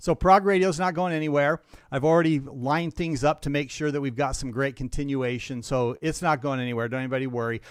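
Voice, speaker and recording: A very fast, nearly pause-free delivery in an American accent, on a very clean recording with a silent background. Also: man, fairly high pitch for a man, ordinary pitch variation. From US Rocky Mountains. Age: 60s. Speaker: radio host. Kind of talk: casual chat. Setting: live stream.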